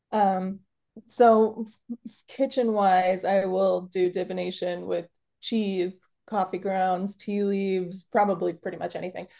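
A woman with an American accent speaks at a fairly slow pace in a dark, mellow tone. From Chicago. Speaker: kitchen witch and workshop teacher. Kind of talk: casual interview.

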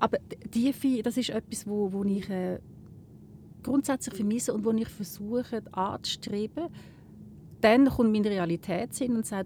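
At a moderate pace, a woman speaks at medium pitch in a somewhat breathy voice with a dark, mellow tone. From Switzerland, Lucerne. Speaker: journalist. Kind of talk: casual interview. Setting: in a gondola.

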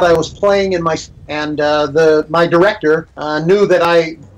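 Against noticeable background noise, a man speaks in a high pitch with fairly even intonation. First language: English (speaking Portuguese). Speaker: composer. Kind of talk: interview. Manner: halting.

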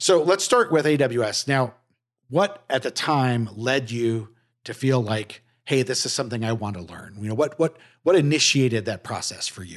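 Against a quiet background, a man with an unremarkable speaking voice talks at medium pitch and a moderate pace, with lively intonation and big swings in loudness. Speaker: podcast host. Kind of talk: interview, casual conversation. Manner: friendly, conversational.

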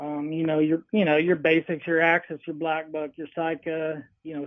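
A man talks with a Texan accent at a fairly high pitch. His intonation is monotone and flat. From Central Texas (Hill Country). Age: 40s. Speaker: hunting outfitter. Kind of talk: casual interview.

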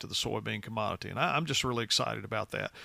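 With a West Tennessee accent, a man talks very fast in a bright, sharp tone, his pitch varying in an ordinary way. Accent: West Tennessee Southern US. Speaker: agricultural policy director. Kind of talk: interview.

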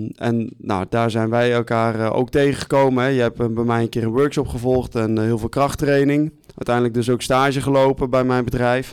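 A man speaks at a moderate pace and medium pitch with hardly any pauses. His intonation is monotone and flat, and his loudness stays very even. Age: 20s. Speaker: gym owner and strength coach. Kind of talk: casual podcast interview. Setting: studio with small audience.

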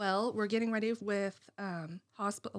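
In an American accent, a woman uses an ordinary speaking voice at medium pitch, keeping a moderate pace and fairly even intonation. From US, rural Greene County. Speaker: nursing home administrator. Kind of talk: casual interview. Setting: studio.

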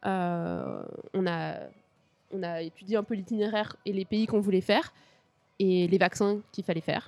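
With long, frequent pauses, a woman of medium pitch speaks at a moderate pace and with fairly even intonation. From Paris region, France. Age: 20s. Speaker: cycle traveller. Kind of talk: interview.

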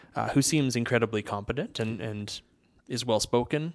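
Over a quiet background, a man with a Canadian accent and a plain, everyday voice talks at a moderate pace with fairly even intonation. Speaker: political blogger and commentator. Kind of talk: casual interview.

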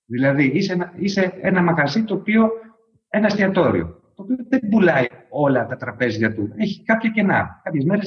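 The intonation is lively. The pace is moderate. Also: man. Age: 40s. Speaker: startup CEO. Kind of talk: interview.

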